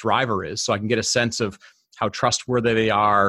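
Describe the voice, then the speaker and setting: Speaking at a fairly quick pace with a Midwestern American accent, a man with fairly low pitch keeps his intonation fairly even in a dry, close sound with no echo, on a very clean recording with a silent background. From Detroit, US Midwest. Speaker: tech strategy director. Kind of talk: interview. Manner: hesitant with many fillers.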